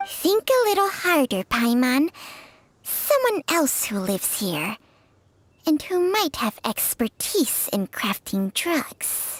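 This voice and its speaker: This female-sounding voice is a put-on character, high-pitched for a woman. Its pitch swings very widely at a fairly slow pace. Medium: video game. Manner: proud, blunt.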